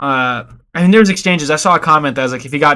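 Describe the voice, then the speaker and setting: Very fast and bright, sharp in tone, a man talks with ordinary pitch variation. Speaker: MMA YouTuber. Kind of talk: casual commentary video.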